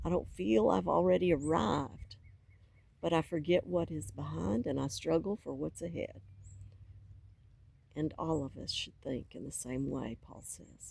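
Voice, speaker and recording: A woman with a Southern US accent at a fairly slow pace, with long, frequent pauses and big swings in loudness. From US South. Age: 60s. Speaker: faith vlogger. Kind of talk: personal testimony.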